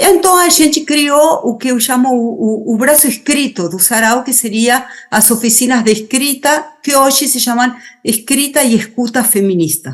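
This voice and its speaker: With lively intonation and a high pitch, a woman in an Argentine accent speaks at a fairly slow pace. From Argentina. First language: Spanish (speaking Portuguese). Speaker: writer, poet and feminist activist. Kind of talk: interview. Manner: halting, many fillers and repeats.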